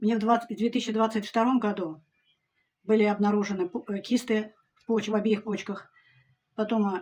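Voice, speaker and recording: A woman with a fairly high, somewhat breathy voice speaks in a monotone, flat way, with long, frequent pauses and big swings in loudness. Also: moderate pace. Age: 70s. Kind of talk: testimonial to camera.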